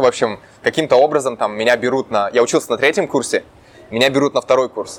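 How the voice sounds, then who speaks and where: Talking very fast at a medium pitch, a man lets his pitch vary in an ordinary way. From Russia, Urals (Chelyabinsk region). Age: 20s. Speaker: entrepreneur. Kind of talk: interview. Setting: Santa Monica, California.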